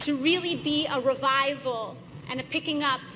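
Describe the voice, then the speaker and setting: Over noticeable background noise, a woman raises and projects her high-pitched voice, speaking at a fairly slow pace. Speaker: member of Congress. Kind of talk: political speech at an event.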